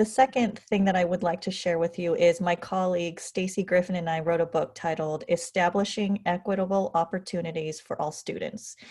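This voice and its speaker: Against a quiet background, a woman with an American accent talks at a fairly quick pace. She hardly pauses at all. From California, US. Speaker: educator and author. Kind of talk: casual interview conversation.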